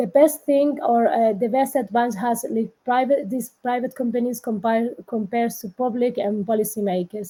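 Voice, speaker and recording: In a very clean recording with a silent background, a woman with a fairly high pitch and a dark, mellow, somewhat breathy tone speaks at a moderate pace. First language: Spanish. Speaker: politician. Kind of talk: panel discussion. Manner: halting.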